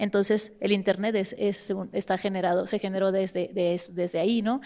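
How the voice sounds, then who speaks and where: A woman with a dark, mellow tone and medium pitch speaks at a fairly quick pace in a monotone, flat intonation. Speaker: academic panelist. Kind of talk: academic panel talk. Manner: many fillers and restarts.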